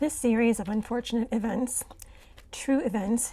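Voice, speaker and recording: A woman talks at a moderate pace in a fairly high pitch. Her intonation stays fairly even over noticeable background noise. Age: 60s. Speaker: vlogger sharing personal hardships. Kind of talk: reading aloud a personal account.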